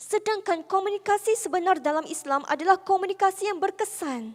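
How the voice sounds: This is a woman talking. The rise and fall of her pitch is ordinary.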